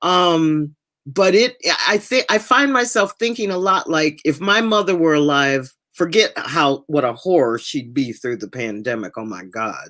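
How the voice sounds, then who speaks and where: Her voice fairly low, a woman speaks at a fairly slow pace with very wide pitch swings. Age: 60s. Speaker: podcast co-host. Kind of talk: casual chat. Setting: podcast recording.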